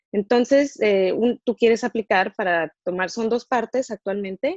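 A woman speaks at a fairly slow pace with ordinary pitch variation. She has an unremarkable speaking voice, recorded dry and close with no echo. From Mexico. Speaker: dentist. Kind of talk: interview.

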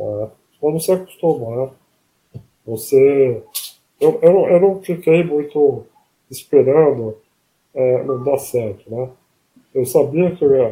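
A man's somewhat breathy voice, fairly high in pitch, with a dark, mellow tone and lively intonation. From interior of São Paulo state (Palmital). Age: 40s. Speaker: person with ALS. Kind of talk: interview. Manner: halting.

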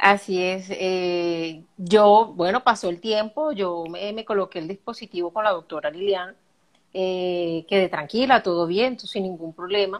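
Against a quiet background, a woman with an unremarkable speaking voice talks at a fairly slow pace, using a medium pitch and ordinary pitch variation. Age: 30s. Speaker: accountant. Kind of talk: personal testimony in interview. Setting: live video stream.

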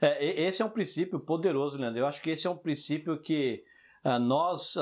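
In a very clean recording with a silent background, a man talks at a moderate pace in a normal speaking voice. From Brazil, Jardim Selma (São Paulo). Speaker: podcast co-host. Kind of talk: casual chat.

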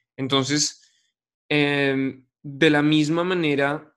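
Against a quiet background, a man talks at a fairly high pitch with fairly even intonation. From Colombia, Bogotá. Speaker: podcast host. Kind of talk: interview conversation.

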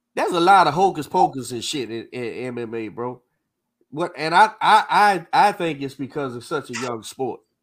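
A man with a plain, everyday voice talks at a moderate pace and fairly high pitch. His lively intonation has big swings in loudness on a very clean recording with a silent background. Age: 40s. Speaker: boxing coach and podcast host. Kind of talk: casual chat. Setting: live stream.

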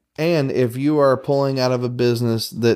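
Someone talks at a moderate pace with a Southern US accent in a very clean recording with a silent background. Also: man. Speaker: podcast host. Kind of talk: casual chat. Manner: calm, quiet.

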